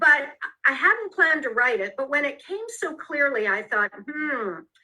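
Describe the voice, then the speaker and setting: A woman with an American accent speaks at a fairly slow pace in a raised, projected voice. Her pitch is high and swings very widely. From US Midwest, Detroit. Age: 60s. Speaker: author and former actress. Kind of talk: interview.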